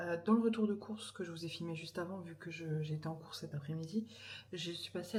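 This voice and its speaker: Soft-spoken and fairly quick, a woman talks at a fairly low pitch with ordinary pitch variation. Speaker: vlogger and mother. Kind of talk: casual vlog talk to camera. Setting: at home in the evening. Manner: soft-spoken, speaking quietly; hesitant, many fillers.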